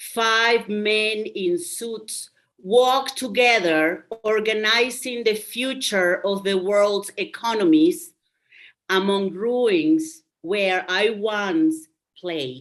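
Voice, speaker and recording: A woman's fairly high voice in a Spanish accent, very slow in pace, with lively intonation. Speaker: poet. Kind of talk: poetry reading. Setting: video call.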